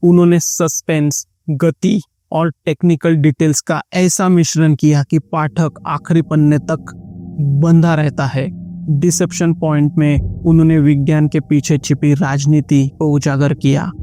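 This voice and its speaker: With a Marathi accent, a man speaks in fairly even intonation. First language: Marathi (speaking Hindi). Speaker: book reviewer. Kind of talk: book review narration.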